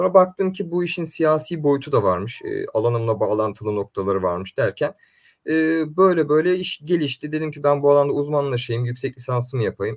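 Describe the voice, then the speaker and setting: Against a quiet background, a man with a fairly high pitch talks with hardly any pauses. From Istanbul, Turkey (Üsküdar); Turkey. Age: 20s. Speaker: neuromarketing and political consultant; guest. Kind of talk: interview. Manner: hesitant, many fillers. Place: home room.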